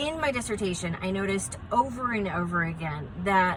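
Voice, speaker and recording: Very wide pitch swings give this woman an animated tone. She speaks at a medium pitch against noticeable background noise. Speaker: positive psychologist. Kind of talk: educational talk to camera.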